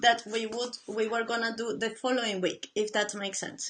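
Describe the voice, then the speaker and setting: Her tone is bright and sharp, with a non-native accent. The woman is heard over a quiet background. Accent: noticeable foreign. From Latin America. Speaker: painter. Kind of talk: casual live stream talk. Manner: halting.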